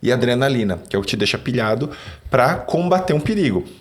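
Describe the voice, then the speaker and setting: His pitch rises and falls very widely. The man's delivery runs fairly quick. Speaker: neuroscience and sales speaker. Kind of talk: podcast conversation. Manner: fast.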